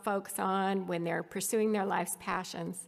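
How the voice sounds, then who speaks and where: A normal speaking voice from a woman, medium in pitch, at a moderate pace with fairly even intonation, on a very clean recording with a silent background. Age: 60s. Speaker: former tech executive giving a conference talk. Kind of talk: conference presentation.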